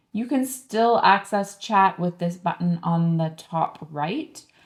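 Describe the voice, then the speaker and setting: A plain, everyday voice that speaks at a fairly slow pace, with ordinary pitch variation. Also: woman. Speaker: online publishing coach. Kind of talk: screen-share tutorial. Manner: casual, with frequent fillers.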